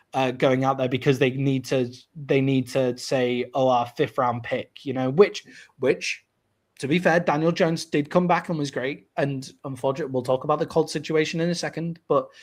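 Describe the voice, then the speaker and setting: In a British accent, a man speaks at a moderate pace and fairly high pitch with fairly even intonation. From Britain. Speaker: sports podcast host. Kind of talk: casual chat.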